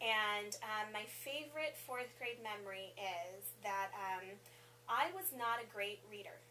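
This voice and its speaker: A woman with a Spanish accent and a fairly high pitch speaks at a fairly slow pace over noticeable background noise. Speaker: assistant principal. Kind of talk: interview. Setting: school office.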